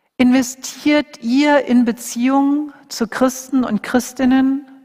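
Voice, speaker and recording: A woman with monotone, flat intonation. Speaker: preacher. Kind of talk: sermon; fervent prayer, earnest intercession closing the sermon. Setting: church. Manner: earnest, intense, pleading; warm, heartfelt, steady.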